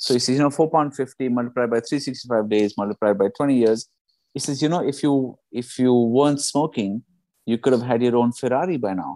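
Recorded dry and close with no echo, a man talks at a fairly quick pace in a dark, mellow tone with ordinary pitch variation. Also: medium pitch for a man. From India. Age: 40s. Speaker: stand-up comedian and executive coach. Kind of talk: casual chat.

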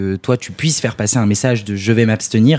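A man speaks at a medium pitch with a dark, mellow tone. His pace is fairly quick and his intonation fairly even. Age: 20s. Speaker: young political activist. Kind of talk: panel discussion.

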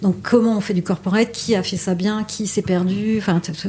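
At a fairly slow pace, a woman speaks in a medium pitch against noticeable background noise. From Paris, France. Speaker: exhibition curator. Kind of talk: interview.

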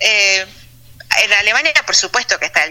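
A woman is talking. There is noticeable noise behind her. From Argentina, Buenos Aires province (Punta Alta). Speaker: physicist living abroad. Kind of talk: interview.

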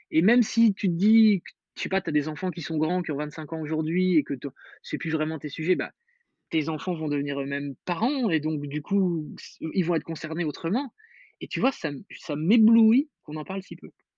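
A man's dark, mellow, fairly high voice at a moderate pace, with ordinary pitch variation, in a dry, close sound with no echo against a quiet background. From Metz, northeastern France. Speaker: parenting author and podcaster. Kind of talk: casual interview.

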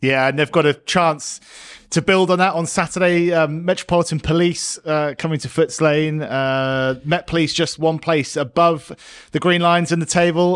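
An unremarkable speaking voice moves at a fairly quick pace. Its pitch varies in an ordinary way. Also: man. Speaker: podcast host. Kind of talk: casual sports chat. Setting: studio.

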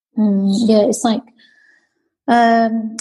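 A woman's somewhat breathy, fairly high-pitched voice with a dark, mellow tone. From Britain, Chinese family. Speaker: guest, host's sister. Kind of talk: casual chat, interview with sister.

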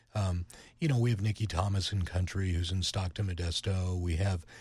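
A man with an American accent, fairly low in pitch, somewhat breathy and dark, mellow in tone, on a very clean recording with a silent background. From western Pennsylvania (Youngwood, near Pittsburgh). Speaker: radio programming executive. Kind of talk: interview.

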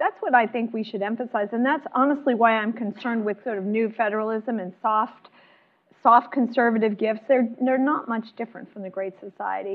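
A woman with a plain, everyday voice and an American accent talks at a fairly quick pace and fairly high pitch, her intonation fairly even and her loudness swinging widely. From Chicago, US Midwest. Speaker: historian and author. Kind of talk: author talk and panel discussion. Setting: luncheon event with audience.

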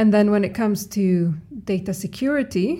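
This woman talks at a fairly slow pace, her tone dark and mellow and somewhat breathy. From Sweden, Stockholm. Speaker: epidemiologist and scientist. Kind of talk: interview.

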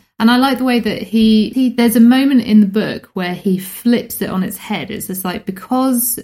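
This voice is somewhat breathy, with a British accent. Its intonation is fairly even. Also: woman. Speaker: podcast host. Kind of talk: casual chat, book review.

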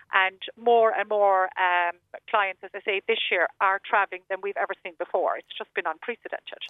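In a Cork accent, a woman speaks at a moderate pace with a medium pitch and fairly even intonation. Her loudness swings widely. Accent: Cork Irish. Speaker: travel agent. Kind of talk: radio interview.

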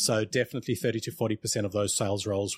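Talking at a very fast pace, a man with a fairly low, somewhat breathy voice is recorded dry and close with no echo, very clean against a silent background. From South Africa. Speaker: sales outsourcing company CEO. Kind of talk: casual interview.

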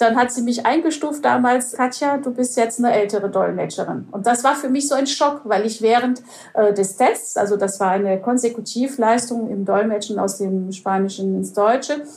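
A plain, everyday voice moves at a moderate pace with ordinary pitch variation. There are hardly any pauses. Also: woman, fairly high pitch for a woman. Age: 50s. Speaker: conference interpreter. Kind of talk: interview.

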